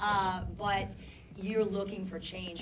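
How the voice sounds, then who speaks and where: The woman's fairly low voice moves at a moderate pace amid audible room echo and noticeable background noise. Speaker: documentary filmmaker. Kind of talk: audience Q&A discussion. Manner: loud. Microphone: poor handheld microphone.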